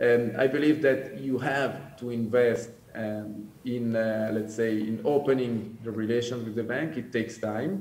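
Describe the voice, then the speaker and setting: A man with an Italian accent talks at a fairly slow pace and medium pitch, with hardly any pauses. Audible room echo and noticeable background noise are present. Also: fairly even intonation. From Italian-speaking Switzerland. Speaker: commodity trading executive. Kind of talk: panel discussion. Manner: halting, many fillers.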